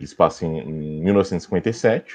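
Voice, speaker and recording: A man's voice over a quiet background. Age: 30s. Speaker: film commentator, journalism graduate. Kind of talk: casual podcast chat. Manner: halting, many fillers.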